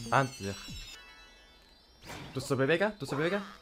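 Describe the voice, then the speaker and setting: There is music in the background. Over it, a man speaks with lively intonation. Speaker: gaming YouTuber. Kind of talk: let's play game commentary. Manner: excitable, energetic.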